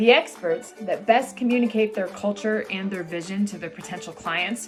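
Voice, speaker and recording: With music in the background, the speech moves at a moderate pace with ordinary pitch variation. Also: woman. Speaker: podcast host. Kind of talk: podcast interview.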